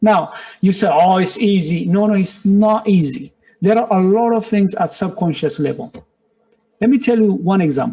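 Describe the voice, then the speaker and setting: A man speaks at a moderate pace with a non-native accent and a high pitch. His loudness stays very even, and his pitch varies in an ordinary way. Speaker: business director and motivational speaker. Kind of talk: motivational webinar talk. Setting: webinar. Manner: animated.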